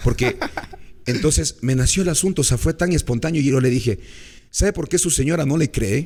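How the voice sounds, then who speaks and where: Using an ordinary speaking voice, a man talks fairly quickly at a fairly high pitch, with ordinary pitch variation and very even loudness. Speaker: radio broadcaster. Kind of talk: storytelling in interview.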